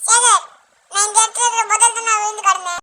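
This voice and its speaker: Squeaky and extremely high-pitched, a put-on character voice talks at a fairly quick pace. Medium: audio drama. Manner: casual, colloquial.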